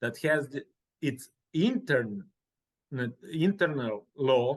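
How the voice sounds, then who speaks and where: Speaking with a Serbian accent, a man has a fairly high pitch. He goes at a very slow pace. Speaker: real estate professional. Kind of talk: interview. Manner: halting.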